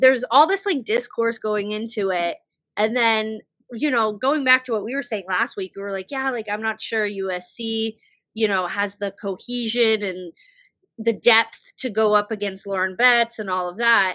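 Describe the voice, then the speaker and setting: With an American accent, a woman speaks at a moderate pace in a fairly high pitch, her tone bright and sharp, her intonation fairly even, and the sound dry and close with no echo. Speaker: podcast host. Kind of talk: casual chat. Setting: video podcast on laptop. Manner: halting.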